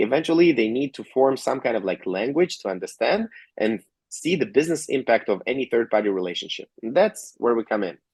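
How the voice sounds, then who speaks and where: A man with an Israeli accent, medium pitch and very wide pitch swings, in a dry, close sound with no echo over a quiet background. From Georgia (country), later Israel. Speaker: tech company co-founder and CTO. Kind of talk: interview. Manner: frequent fillers and tag questions.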